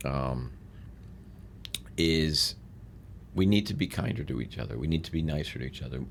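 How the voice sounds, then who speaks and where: A man with a very deep, low pitch and vocal fry speaks at a moderate pace with lively intonation. Long, frequent pauses run through his speech. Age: 60s. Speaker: real estate mentor and businessman. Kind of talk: podcast interview.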